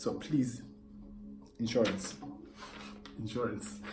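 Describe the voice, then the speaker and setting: An animated man is heard with audible room echo and noticeable background noise. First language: not English. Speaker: YouTuber. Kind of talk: rant vlog.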